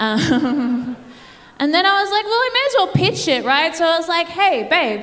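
The speaker has an Australian accent and a fairly quick pace. The pitch swings very widely. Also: woman. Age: 30s. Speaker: comedian. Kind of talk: stand-up. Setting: stage with audience. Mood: playful, mock-sincere. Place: stage. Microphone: handheld.

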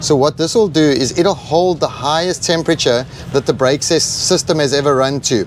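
Speaking at a fairly quick pace with ordinary pitch variation, a man is heard in a dry sound with no echo over light background noise. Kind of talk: product demonstration. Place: street. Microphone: lapel.

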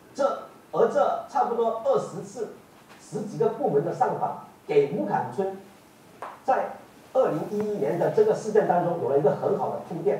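A man with a high voice and very wide pitch swings talks at a moderate pace, with audible room echo and light background noise. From Guangdong, China. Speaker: online show host and activist; online commentator. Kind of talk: interview. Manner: halting, many fillers. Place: studio.

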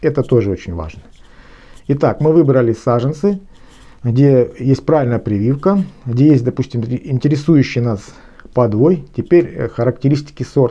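A man speaks at a moderate pace with lively intonation and a dark, mellow tone. Long, frequent pauses break up his speech. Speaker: gardener and garden blogger. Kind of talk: lecture-style tutorial on gardening. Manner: formal, explanatory, with some hesitations. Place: home room. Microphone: phone near.

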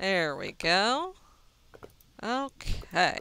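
Bright, sharp, and medium in pitch, a woman's voice carries an American accent. Her intonation is lively. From Texas. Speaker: gaming video creator. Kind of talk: gameplay cooking tutorial. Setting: recorded over video game. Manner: casual, hesitant with fillers.

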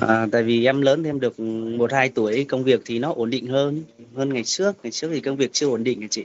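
A man's speech races along very fast, with ordinary pitch variation. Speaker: guest. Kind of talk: interview answer. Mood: candid, slightly shy. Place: home room. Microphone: video call.

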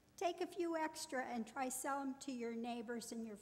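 A woman's high voice at a moderate pace, with ordinary pitch variation. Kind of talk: church announcement. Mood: friendly, upbeat. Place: church. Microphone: podium.

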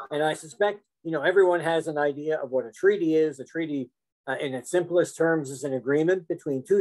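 A man with a Canadian accent and a normal speaking voice talks at a moderate pace, his fairly high pitch varying an ordinary amount. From Canada. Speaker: law professor. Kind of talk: lecture. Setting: video call.

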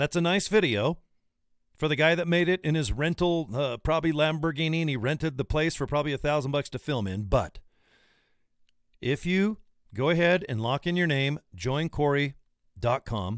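The voice moves at a moderate pace with lively intonation, the sound dry with no echo and the background quiet. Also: man. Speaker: presenter. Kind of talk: casual sales talk to camera. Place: home room. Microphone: studio mic.

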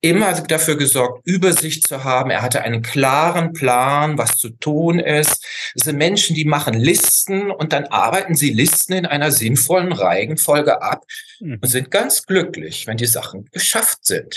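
With light background noise, a man speaks at a moderate pace using lively intonation. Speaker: remote guest. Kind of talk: interview answer. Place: home room. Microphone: video call.

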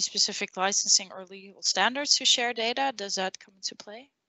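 A woman at medium pitch speaks at a moderate pace in an ordinary speaking voice, the sound dry with no echo and the background quiet. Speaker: interviewer. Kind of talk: interview. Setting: video call. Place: home room. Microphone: headset.

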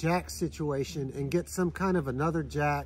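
Over music in the background, a man speaks at a moderate pace. The sound is dry with no echo. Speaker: travel trailer owner vlogger. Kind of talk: casual vlog chat. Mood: calm explanatory. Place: open country.

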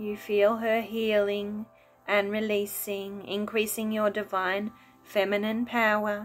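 A woman's fairly high, flat monotone at a very slow pace, over light background noise. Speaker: wellness video host and meditation guide. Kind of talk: guided meditation. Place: home room. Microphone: phone near.

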